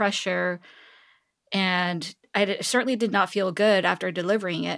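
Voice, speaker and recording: Speaking with a Korean accent, a woman keeps a moderate pace, a medium pitch and ordinary pitch variation. The recording is very clean, with a silent background. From South Korea (Seoul). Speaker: tech executive. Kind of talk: interview conversation.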